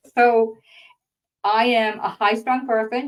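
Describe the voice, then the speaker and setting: A woman speaks with a Boston accent. Her pace is very slow. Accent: Boston-like New England. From northern Maine, US (near Canadian border). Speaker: grant writer and trainer. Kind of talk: webinar lecture. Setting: online webinar.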